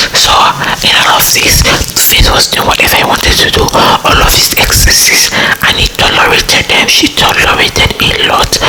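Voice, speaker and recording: Whispering at a moderate pace and very even loudness, a woman speaks over noticeable background noise. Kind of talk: ASMR whispered gossip talk to camera. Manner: whispered, up-close, intimate.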